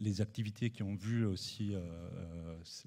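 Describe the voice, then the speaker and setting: Very slow and fairly even in intonation, a man speaks with a very deep, low pitch and a dark, mellow tone. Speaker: photographer and researcher. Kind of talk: conference presentation. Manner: halting, many hesitations.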